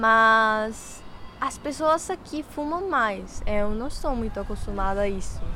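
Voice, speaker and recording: In a Spanish accent, a woman with a fairly high voice talks very slowly with lively intonation, and audible room echo surrounds her. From Colombia, Ibagué. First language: Spanish (speaking Portuguese). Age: 18. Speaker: university student. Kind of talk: interview.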